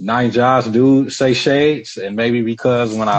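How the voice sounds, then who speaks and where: Flat, monotone delivery from a man with an American accent, medium in pitch, at a moderate pace. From Southern California. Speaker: entrepreneur. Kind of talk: podcast interview.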